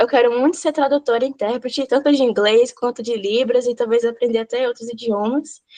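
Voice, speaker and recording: Ordinary pitch variation marks a woman's moderate-paced speech. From Vitória da Conquista, Bahia, Brazil. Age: 20s. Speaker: sign language interpreter and student. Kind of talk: self-introduction in online class. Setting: video call. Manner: natural, informal.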